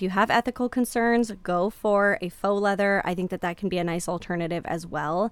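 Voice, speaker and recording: Speaking with a plain, everyday voice at a medium pitch, a woman moves at a fairly quick pace with hardly any pauses and ordinary pitch variation. The recording is very clean, with a silent background. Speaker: podcast host. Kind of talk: pep talk. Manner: warm, encouraging; earnest, reassuring.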